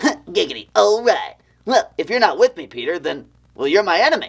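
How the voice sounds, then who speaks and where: In a put-on character voice, the speaker uses a fairly high pitch at a moderate pace. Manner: sleazy, leering.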